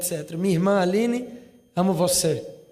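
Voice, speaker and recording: A man with a high-pitched voice speaks at a moderate pace. Audible room echo and noticeable background noise surround him. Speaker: youth movement leader. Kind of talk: speech. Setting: parliament session with audience.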